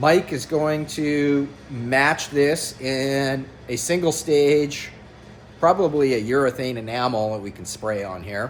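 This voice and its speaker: Amid noticeable background noise, a man with a fairly high pitch speaks at a very slow pace, with ordinary pitch variation and big swings in loudness. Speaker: car builder / fabricator. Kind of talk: workshop tutorial. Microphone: no microphone, camera audio.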